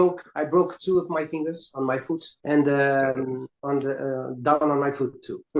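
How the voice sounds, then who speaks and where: With a Portuguese accent, a man speaks at a fairly slow pace with hardly any pauses. His pitch is fairly high and his intonation fairly even. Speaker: caller, content creator. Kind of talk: casual chat. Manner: halting.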